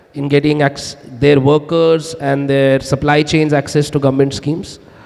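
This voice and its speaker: Over noticeable background noise, a man talks at a moderate pace. His fairly high voice stays monotone, with flat intonation. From India, Himachal Pradesh. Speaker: startup founder. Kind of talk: panel discussion.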